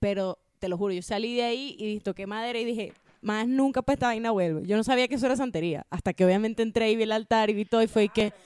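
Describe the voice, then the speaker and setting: Talking at a very fast pace with a Venezuelan accent, a woman uses ordinary pitch variation in a dry, close sound with no echo. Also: fairly high pitch for a woman, hardly any pauses. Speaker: podcast producer. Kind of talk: casual chat, personal anecdote.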